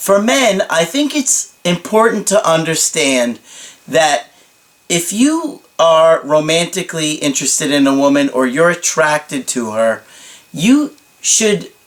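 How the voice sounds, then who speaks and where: A man speaks very slowly at a fairly high pitch with lively intonation. There is noticeable background noise. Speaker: dating coach. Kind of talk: advice monologue.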